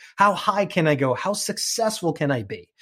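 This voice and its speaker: A man's high voice with a New York accent and very wide pitch swings, on a very clean recording with a silent background. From New York (Queens). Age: 40s. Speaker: bilingual TV host and podcaster. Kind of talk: interview.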